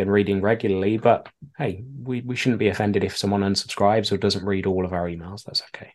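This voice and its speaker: The speaker has a British accent and a fairly quick pace. The background is quiet. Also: man. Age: 30s. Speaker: email marketer and keynote speaker. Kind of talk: interview.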